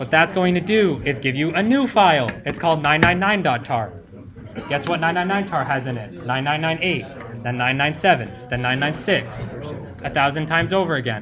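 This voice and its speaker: Noticeable background noise and audible room echo surround the recording. A man speaks at a moderate pace. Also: fairly high pitch for a man, lively intonation. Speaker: cybersecurity workshop instructor. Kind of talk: live workshop tutorial. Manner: loud, yelling over the room.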